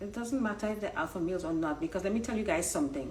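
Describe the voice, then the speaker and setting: A woman's animated voice, with lively intonation, carries audible room echo. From Trinidad. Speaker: online dating coach. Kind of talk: casual live-stream commentary. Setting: Instagram live stream.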